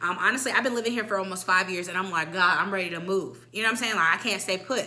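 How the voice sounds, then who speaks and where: Noticeable noise runs in the background. Over it, a woman talks with lively intonation. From military kid, moved between countries. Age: 20s. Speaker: vlogger. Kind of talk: casual chat.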